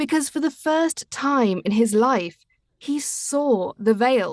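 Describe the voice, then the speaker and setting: High-pitched female speech with a British accent and ordinary pitch variation, in a dry, close sound with no echo. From Britain. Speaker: audiobook narrator. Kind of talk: reading aloud.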